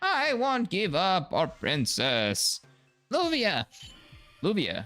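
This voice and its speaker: Over faint background music, a man uses a put-on character voice pitched high and speaks at a very slow pace. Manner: defiant, solemn.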